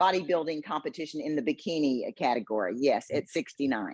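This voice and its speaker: Very deep and low in pitch, a woman with an American accent talks at a fairly quick pace with lively intonation, her voice dry and close with no echo. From Texas, Houston. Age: 70s. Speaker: retired business owner and bikini competitor. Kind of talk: interview. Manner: hesitant fillers.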